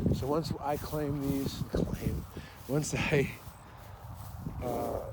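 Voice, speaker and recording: A man is speaking. Room echo is audible. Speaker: battlefield walk vlogger. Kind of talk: casual self-talk while walking. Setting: outdoors on a battlefield walk. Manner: loud.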